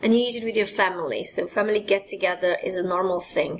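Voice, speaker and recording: A woman with a Hungarian accent talks at a fairly quick pace with fairly even intonation. Background noise is noticeable. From Hungary. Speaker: presenter. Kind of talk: lecture.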